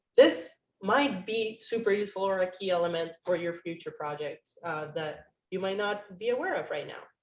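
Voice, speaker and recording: A woman's medium-pitched voice with a non-native accent, ordinary pitch variation, a moderate pace and big swings in loudness. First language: not English. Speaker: university instructor. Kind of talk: online class meeting.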